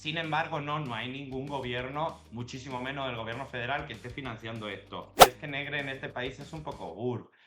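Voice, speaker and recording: A man speaks at a fairly quick pace and medium pitch, with hardly any pauses and fairly even intonation. His loudness swings widely, and music plays in the background. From Andalusia, Jaén (Spain). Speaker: political analyst. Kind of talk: interview.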